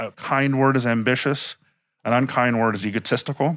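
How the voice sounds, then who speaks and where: The man's voice sits at a medium pitch. The recording is very clean, with a silent background. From Miami, Florida. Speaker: museum director and historian. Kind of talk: interview. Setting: inside a museum.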